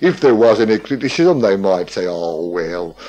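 A man's dark, mellow tone, fairly slow pace and very wide pitch swings. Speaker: local historian. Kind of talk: radio talk, storytelling. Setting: radio broadcast. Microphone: old recording.

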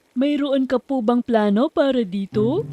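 A female-sounding cartoonish character voice, high in pitch, at a fairly slow pace. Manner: deferential, addresses master as madam.

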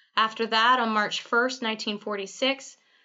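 A woman talks in a plain, everyday voice. Her pitch is fairly high, with ordinary pitch variation. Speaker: museum narrator. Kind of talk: documentary history narration. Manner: formal, measured, even-paced, authoritative.

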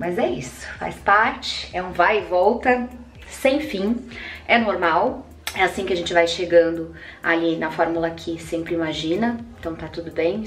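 Her loudness goes through big swings. The woman talks fairly slowly. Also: fairly low pitch for a woman. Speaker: vlogger. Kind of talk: casual vlog chat. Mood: warm, relaxed, upbeat. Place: bathroom. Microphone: phone near.

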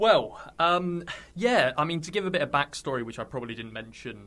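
Bright, sharp male voice in a West Country accent, fairly quick, with lively intonation. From Somerset, England. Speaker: YouTuber, electric car owner. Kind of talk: casual interview chat.

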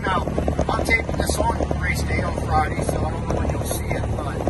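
Moderate pace under loud background noise. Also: man. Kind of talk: casual vlog chat. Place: car. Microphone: phone near.

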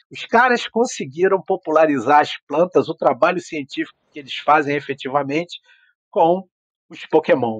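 With an unremarkable speaking voice, a fairly high-pitched man talks at a moderate pace with lively intonation and big swings in loudness, the sound dry and close with no echo against a quiet background. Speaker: biology professor. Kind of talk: interview conversation.

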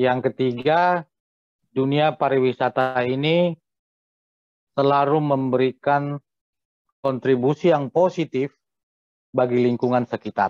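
The speech moves at a fairly slow pace with long, frequent pauses, a dry, echo-free sound, very even loudness, fairly even intonation and a quiet background. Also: man. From North Sumatra, Simalungun (Pematang Siantar); North Sumatra. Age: 40s. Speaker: hotel manager; guest. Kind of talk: interview. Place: home room. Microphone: video call.

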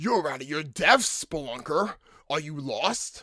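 A man puts on a character voice, fairly high in pitch and at a fairly slow pace. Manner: taunting, boss-like.

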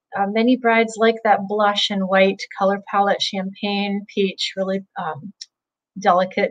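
Over a quiet background, a woman speaks at a fairly slow pace. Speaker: interview guest. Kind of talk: interview answer. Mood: friendly, enthusiastic. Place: home room. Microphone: video call.

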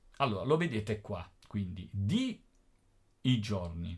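A man's fairly low-pitched voice sounds somewhat breathy. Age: 50s. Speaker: teacher. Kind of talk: tutorial. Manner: casual.

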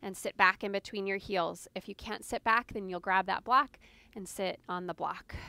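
A woman speaks at a moderate pace with ordinary pitch variation, her tone both soothing and warm yet bright and sharp. The sound is dry with no echo. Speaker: yoga instructor. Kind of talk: guided yoga class, giving calm step-by-step cues. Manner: soothing, even-paced, gently instructive; warm, lightly humorous. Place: garden.

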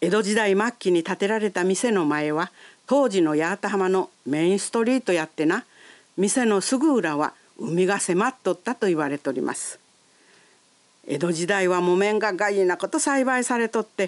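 A woman with an Ehime accent at a moderate pace, the sound dry and close with no echo. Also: medium pitch for a woman, lively intonation. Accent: Yawatahama dialect, Ehime. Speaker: local guide narrator. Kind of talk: local shop introduction narration.

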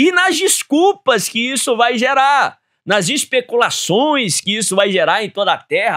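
A man's raised, projected voice, bright and sharp in tone, fairly slow, with lively intonation over a quiet background. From Brazil. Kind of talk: Bible teaching program. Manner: formal. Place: studio. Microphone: studio mic.

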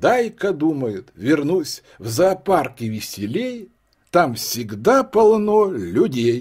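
The voice moves very slowly while its pitch swings very widely. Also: man. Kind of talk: poetry reading.

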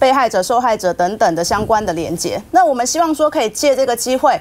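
A woman talks at a very fast pace. Her pitch swings very widely. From Taiwan. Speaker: political commentator. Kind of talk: TV political talk show. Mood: earnest, concerned. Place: studio.

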